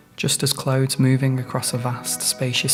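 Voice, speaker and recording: A man talks at a moderate pace with a medium pitch. Music plays in the background. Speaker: mindfulness guide. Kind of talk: guided mindfulness meditation.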